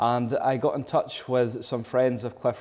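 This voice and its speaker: The voice carries a northern Scottish accent. Its tone is dark and mellow. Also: man. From Scotland, Caithness. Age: 20s. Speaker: accordion player and singer. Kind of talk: interview.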